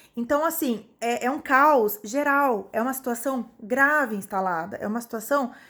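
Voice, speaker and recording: A woman with a high pitch and ordinary pitch variation speaks at a moderate pace on a very clean recording with a silent background. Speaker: psychologist vlogger. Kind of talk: video monologue.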